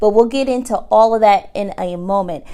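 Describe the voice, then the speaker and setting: A woman speaks at a moderate pace with an American accent. Her pitch is fairly high and her intonation fairly even. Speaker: online business tutorial host. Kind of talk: tutorial.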